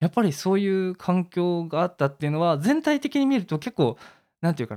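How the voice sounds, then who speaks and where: On a very clean recording with a silent background, a man talks at a fairly quick pace in a high pitch. His voice makes very wide pitch swings, and the sound is dry and close with no echo. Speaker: video creator. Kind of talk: casual interview.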